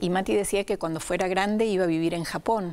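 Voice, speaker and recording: This woman's voice sits at medium pitch with ordinary pitch variation. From Venezuela. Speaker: writer. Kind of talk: interview. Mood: warm, reflective. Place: studio. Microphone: lapel.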